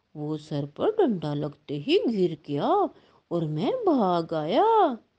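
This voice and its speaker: A woman performs a cartoonish character voice at a fairly slow pace, her pitch fairly low. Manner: aggressive.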